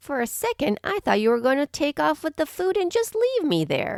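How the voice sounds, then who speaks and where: A woman uses a put-on character voice at a high pitch. Her pace is moderate. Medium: read story. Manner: feisty, bold.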